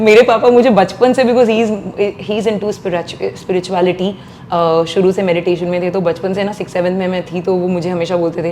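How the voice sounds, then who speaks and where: A woman's medium-pitched voice at a very fast pace, fairly even in intonation, with noticeable background noise. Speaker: playback singer. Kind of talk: interview.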